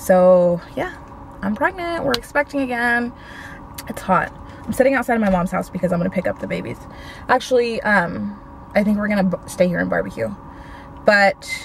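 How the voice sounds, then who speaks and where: With long, frequent pauses, a woman talks at a moderate pace in a dry sound with no echo and light background noise. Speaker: vlogger. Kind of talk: casual vlog chat. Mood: excited, chatty announcement. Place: car. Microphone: phone near.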